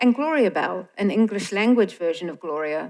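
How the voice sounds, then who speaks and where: A woman with a New Zealand accent, lively intonation and a moderate pace. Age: old. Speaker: film organisation director. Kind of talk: stage introduction speech.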